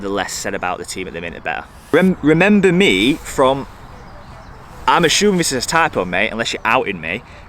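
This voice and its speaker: Noticeable background noise sits behind a man with a Yorkshire accent who talks at a fairly quick pace in a medium pitch with very wide pitch swings. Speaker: fitness YouTuber. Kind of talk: Q&A vlog. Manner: fast; casual.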